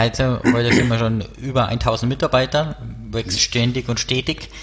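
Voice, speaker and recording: A man's medium-pitched voice with a Bavarian accent, fairly even intonation, and noticeable background noise. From Bavaria, near Erding. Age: 30s. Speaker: startup co-founder. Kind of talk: interview.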